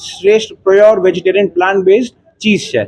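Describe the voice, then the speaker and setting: This is a man talking. His pitch is high. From Mumbai, India. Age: 20s. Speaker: restaurant owner, software engineer. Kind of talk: interview.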